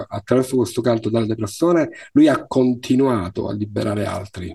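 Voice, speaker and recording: Somewhat breathy and dark, mellow in tone, a man at medium pitch speaks at a fairly quick pace with lively intonation. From Sicily, Palermo. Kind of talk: interview conversation.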